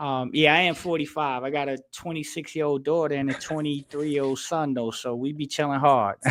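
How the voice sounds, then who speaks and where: Talking at a fairly quick pace with hardly any pauses, a man with an American accent uses a fairly high pitch and fairly even intonation. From northern New Jersey. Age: 40s. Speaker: sports podcast guest, retired engineer. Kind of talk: casual chat.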